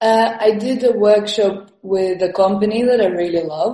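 In an Estonian accent, a woman speaks at a fairly slow pace, somewhat breathy, with a dark, mellow tone and ordinary pitch variation. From Estonia, moved to London at twelve. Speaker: comedian and physical performer. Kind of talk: casual interview. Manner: halting, with many fillers and repetitions.

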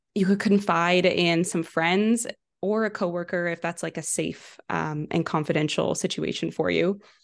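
A normal speaking voice talks at a fairly slow pace in a Canadian accent. The intonation is fairly even, and the background is quiet. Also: woman, fairly low pitch for a woman. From western Canada, Vancouver. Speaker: entrepreneur, social media ads specialist. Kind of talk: interview.

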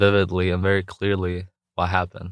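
Over a quiet background, a man with very deep, low pitch speaks fairly quickly in monotone, flat intonation. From Jordan. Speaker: entrepreneur and youth mentor. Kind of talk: interview.

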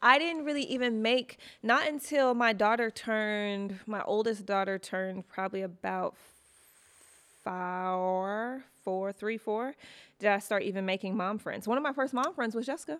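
A woman speaks at a moderate pace with a fairly high pitch and an American accent, in a normal speaking voice. Her pitch varies in an ordinary way, and the recording is very clean with a silent background. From US Midwest, Detroit. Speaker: podcast host, mother. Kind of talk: casual chat.

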